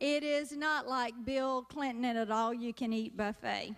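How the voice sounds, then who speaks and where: Her pitch varying in an ordinary way, a woman speaks with a Southern US accent. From US South. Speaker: comedian. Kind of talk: stand-up.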